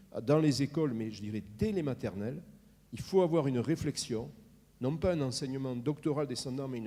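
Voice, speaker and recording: A man with a dark, mellow tone and medium pitch talks at a moderate pace with lively intonation. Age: 60s. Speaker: healthcare consultant, audience member. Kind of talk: audience contribution at round table. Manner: hesitant, repeats words.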